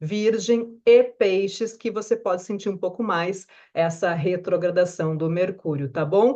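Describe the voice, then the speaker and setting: Woman with a Brazilian accent, dark, mellow tone and lively intonation at a fairly slow pace. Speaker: astrologer. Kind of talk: weekly forecast video talk. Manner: conversational.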